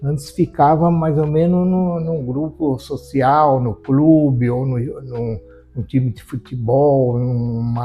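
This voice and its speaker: A man speaks at a very slow pace, his pitch medium with ordinary variation. Music plays in the background. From Brazil, Japanese-Brazilian community. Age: 70s. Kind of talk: interview. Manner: halting.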